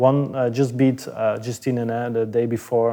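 In a Flemish accent, a man speaks at a medium pitch with a dark, mellow tone and monotone, flat intonation on a very clean recording with a silent background. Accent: Belgian (Flemish) English. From Belgium. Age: 30s. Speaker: tennis coach. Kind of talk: interview. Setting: gym in an apartment building. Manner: halting, with many repetitions.

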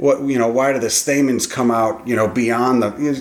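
Intonation holds fairly even. The speaker keeps a moderate pace. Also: man, medium pitch for a man.

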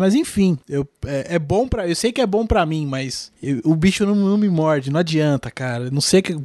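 At a high pitch, a man talks at a moderate pace with ordinary pitch variation and hardly any pauses. The sound is dry and close with no echo over a quiet background. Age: 30s. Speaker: podcast host. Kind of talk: casual chat.

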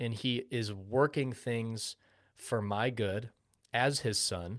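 On a very clean recording with a silent background, a man talks in a normal speaking voice at medium pitch with fairly even intonation. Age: 20s. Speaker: podcast co-host. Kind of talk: casual chat about sports and faith.

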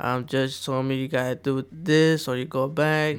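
A man with an American accent speaks in a fairly high pitch at a fairly slow pace. The recording is very clean, with a silent background. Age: 20s. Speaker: former gang member. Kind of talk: personal story interview. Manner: halting.

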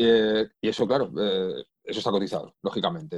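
A man with an Asturian accent. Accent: Asturian Spanish, picked up. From Spain, Madrid. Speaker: copywriter. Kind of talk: interview conversation.

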